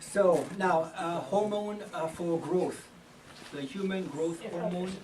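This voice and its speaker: A man with a French accent talks in a high pitch with ordinary pitch variation. The room echo is audible and the background noise is noticeable. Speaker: health lecturer. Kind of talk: health talk. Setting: church hall with audience. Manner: halting, many fillers.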